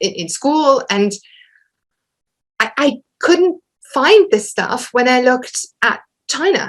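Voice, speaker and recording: Using a German accent, a woman speaks very slowly at a high pitch, with very wide pitch swings and long, frequent pauses. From western Germany. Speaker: historian, academic lecturer. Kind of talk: Q&A after an academic lecture. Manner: halting, many repetitions and fillers.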